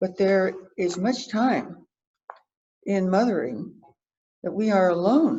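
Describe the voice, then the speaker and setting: The voice is somewhat breathy and dark, mellow in tone, with lively intonation, a very slow pace and long, frequent pauses. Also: woman, medium pitch for a woman. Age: 80s+. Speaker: church member giving a talk. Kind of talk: church message, prepared talk.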